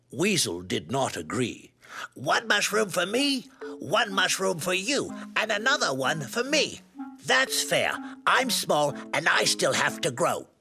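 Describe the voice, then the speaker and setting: Over faint background music, a man puts on a high-pitched character voice at a fairly slow pace. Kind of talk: read story. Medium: dub.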